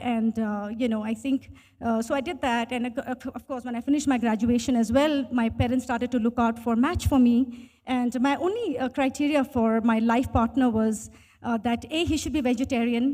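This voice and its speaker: A woman with an Indian accent speaks in a high voice with a dark, mellow tone. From India, Bangalore (early years in Bhutan). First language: Hindi. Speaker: tech professional. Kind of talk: interview storytelling.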